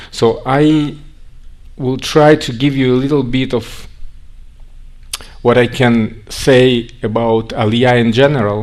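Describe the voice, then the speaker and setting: Amid audible room echo, a man with a Russian accent and medium pitch speaks at a very slow pace with fairly even intonation and long, frequent pauses. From Russia, Siberia. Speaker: organization representative speaking on immigration to Israel. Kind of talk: conference talk.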